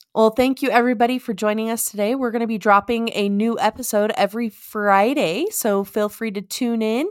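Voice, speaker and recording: An unremarkable speaking voice moves at a fairly quick pace with hardly any pauses and ordinary pitch variation, in a dry, close sound with no echo. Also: woman, fairly high pitch for a woman. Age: 30s. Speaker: podcast co-host. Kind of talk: casual chat; show outro.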